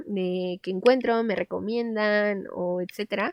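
Animated in tone, a woman talks in a fairly high pitch with ordinary pitch variation. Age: 20s. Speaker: podcast host. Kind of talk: casual monologue.

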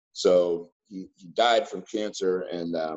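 This is a man speaking. He has an American accent. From Seattle area, US Pacific Northwest. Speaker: insurance agent. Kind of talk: casual report to sales team. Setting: video call.

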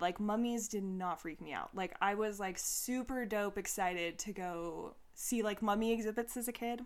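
An ordinary speaking voice from a woman, fairly high in pitch, at a moderate pace with ordinary pitch variation, in a very clean recording with a silent background. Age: 30s. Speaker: spiritual podcast host, tarot reader. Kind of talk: casual solo monologue. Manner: casual, filler-heavy.

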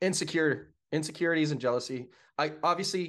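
Lively intonation in an American accent. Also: man. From Pittsburgh, western Pennsylvania. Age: 30s. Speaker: fire system inspector and esports event worker. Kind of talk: casual chat. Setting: video call from his apartment.

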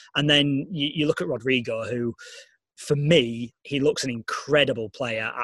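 Speaking with a Yorkshire accent, a man has a fairly high pitch, ordinary pitch variation and a fairly slow pace, recorded with a dry, close sound and no echo. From northern England, Leeds. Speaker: sports radio editor and broadcaster. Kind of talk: casual interview. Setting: video call.

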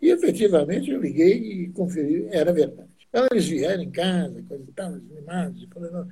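Against audible room echo, a man with a high-pitched voice and a dark, mellow tone talks at a fairly quick pace with hardly any pauses, ordinary pitch variation and big swings in loudness. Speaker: classic car club official. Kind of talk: casual interview.

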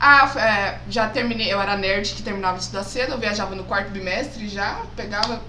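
Room echo and a noticeable layer of background noise are audible. Over them, a woman delivers her words fairly quickly. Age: 30s. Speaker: geography teacher. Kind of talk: casual chat.

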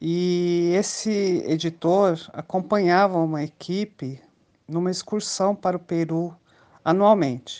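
Against a quiet background, a woman speaks at a very slow pace in a fairly low pitch, her tone dark and mellow and her intonation fairly even. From Brasília, Brazil. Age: 50s. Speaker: podcast co-host, traveler. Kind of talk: casual chat.

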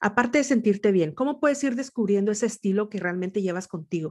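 A woman's unremarkable speaking voice at medium pitch, with lively intonation against a quiet background. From northern Mexico, Nuevo León. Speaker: podcast host. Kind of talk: interview.

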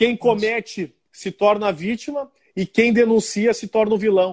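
At a high pitch with ordinary pitch variation, a man speaks at a fairly slow pace. The sound is dry and close with no echo, on a very clean recording with a silent background. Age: 40s. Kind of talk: interview.

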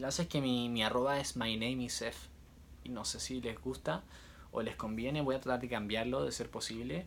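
A man with a Chilean accent and ordinary pitch variation. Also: medium pitch for a man, moderate pace. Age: 20s. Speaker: musician and social media creator. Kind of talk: casual vlog monologue. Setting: on a cruise ship. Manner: intense, nonstop talking.

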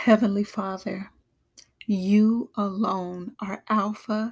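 A somewhat breathy woman's voice at a medium pitch, very slow and monotone with flat intonation, on a very clean recording with a silent background. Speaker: prayer podcaster. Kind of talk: fervent prayer, led aloud for listeners. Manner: earnest, devout, solemn.

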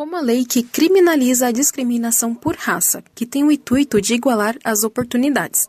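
The woman's voice is high-pitched and moves at a fairly quick pace. The sound is dry and close, with no echo. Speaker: student reporter. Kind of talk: news report.

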